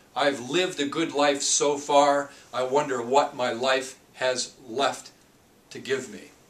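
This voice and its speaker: Over noticeable background noise, the speech runs at a very slow pace with fairly even intonation. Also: man, fairly high pitch for a man. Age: 50s. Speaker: leadership coach. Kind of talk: tutorial. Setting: office.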